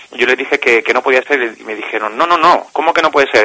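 With noticeable background noise but a dry, close sound with no echo, a man of medium pitch talks at a fairly quick pace with ordinary pitch variation. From Cádiz, Andalusia, Spain. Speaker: magician, charity founder. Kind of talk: interview.

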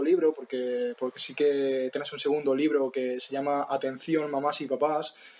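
Noticeable background noise surrounds a man speaking at a fairly slow pace. His pitch is fairly high. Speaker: podcast host. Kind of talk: interview. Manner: halting.

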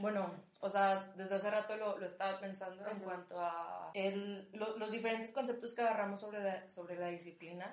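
The voice is monotone and flat, moving fairly quickly with hardly any pauses. Audible room echo and noticeable background noise surround it. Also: woman, medium pitch for a woman. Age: 20s. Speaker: student and rugby coach. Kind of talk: casual chat.

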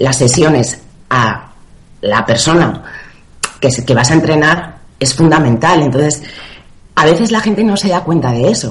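A woman talks with lively intonation. Audible room echo and noticeable background noise surround her voice. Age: 30s. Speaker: personal trainer. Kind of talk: interview.

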